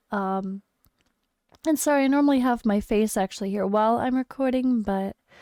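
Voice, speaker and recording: With an American accent and a dark, mellow tone, a woman talks at a fairly quick pace in a fairly high pitch with ordinary pitch variation, recorded with a dry, close sound and no echo. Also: very even loudness. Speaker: gaming streamer. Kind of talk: game commentary video. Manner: casual, animated.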